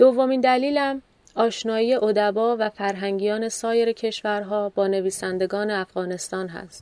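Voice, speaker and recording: In a plain, everyday voice, a woman speaks at a moderate pace and fairly high pitch, her intonation fairly even but her loudness swinging widely. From Iran. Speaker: podcast host. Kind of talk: scripted narration. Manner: formal.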